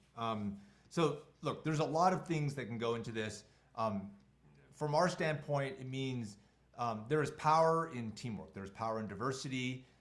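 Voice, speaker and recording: At a moderate pace and with lively intonation, the voice comes through with audible room echo. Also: man. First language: not English. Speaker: tech company co-founder and CEO leading a webinar. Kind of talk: online webinar presentation with Q&A. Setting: video call.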